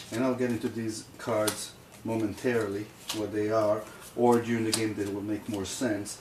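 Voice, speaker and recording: A man speaks at a moderate pace with a fairly low pitch and flat, monotone intonation. Room echo is audible, and there is noticeable background noise. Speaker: board game reviewer. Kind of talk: tutorial. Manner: halting, many fillers.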